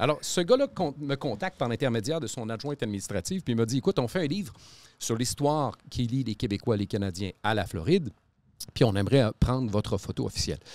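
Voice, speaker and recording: A man talks fairly quickly in a plain, everyday voice of medium pitch, with lively intonation and a dry sound with no echo. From Quebec City; Quebec. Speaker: podcast host. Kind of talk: casual chat. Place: studio. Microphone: studio mic.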